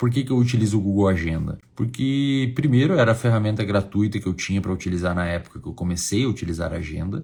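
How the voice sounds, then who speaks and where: Soft-spoken and fairly low-pitched, a man talks at a very fast pace with hardly any pauses. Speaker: psychology teacher. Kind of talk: online lecture. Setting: hotel room.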